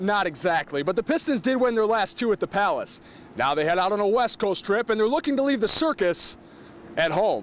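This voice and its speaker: With an energetic tone and very wide pitch swings, a man speaks at a fairly quick pace while his loudness stays very even. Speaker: sports reporter and anchor. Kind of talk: television sports news reporting and anchoring. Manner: energetic, punchy, with witty wordplay.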